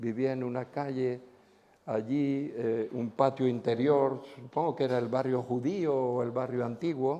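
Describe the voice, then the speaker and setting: Slow-ish and medium in pitch, a man speaks at a fairly slow pace in a dark, mellow tone. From Spain. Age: 70s. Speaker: pastor. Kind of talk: sermon. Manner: animated.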